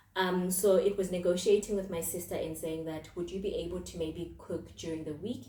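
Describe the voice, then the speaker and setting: Noticeable background noise and audible room echo surround a woman speaking at a fairly quick pace. Her pitch is fairly low, and her intonation fairly even. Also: hardly any pauses. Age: 20s. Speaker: podcast host and mental health counselor. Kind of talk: casual monologue podcast. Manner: conversational, with fillers.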